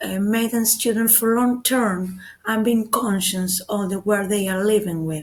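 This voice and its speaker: At a fairly slow pace, a woman speaks in a somewhat breathy voice of medium pitch with fairly even intonation. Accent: Spanish. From Argentina. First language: Spanish. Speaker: teacher. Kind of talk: web seminar presentation. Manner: halting.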